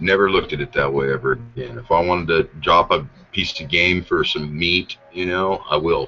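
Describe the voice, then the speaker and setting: A man speaks with an American accent at a moderate pace. Music plays in the background. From Idaho, US. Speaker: podcast host. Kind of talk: casual chat. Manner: animated.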